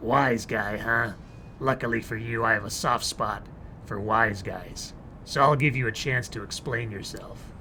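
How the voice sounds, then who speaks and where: A man puts on a gravelly, raspy character voice at medium pitch and a moderate pace, with clear background noise. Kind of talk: noir detective pastiche. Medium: game stream. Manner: hard-boiled, dry wisecracking.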